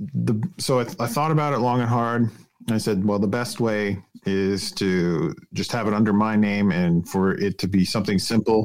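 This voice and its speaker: The speaker has a plain, everyday voice. Delivery is at a moderate pace with lively intonation. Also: man. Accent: Canadian. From Canada, British Columbia (Vancouver suburbs). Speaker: pastor in recovery. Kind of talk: interview conversation.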